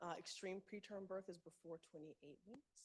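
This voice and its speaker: A woman speaks in a plain, everyday voice. Her pitch is medium, with ordinary pitch variation. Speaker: medical speaker presenting research. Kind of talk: conference presentation.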